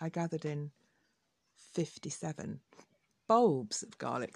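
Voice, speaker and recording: Speaking with an English accent, a woman has a very deep, low pitch and a very slow pace. The recording is very clean with a silent background. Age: 60s. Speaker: podcaster. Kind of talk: personal monologue. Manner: hesitant.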